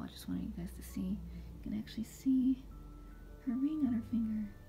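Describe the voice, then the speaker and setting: Noticeable background noise sits behind this speaker. She is a woman talking at a fairly quick pace. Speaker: gift showcase vlogger. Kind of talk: casual talk to camera. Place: home room. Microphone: phone near.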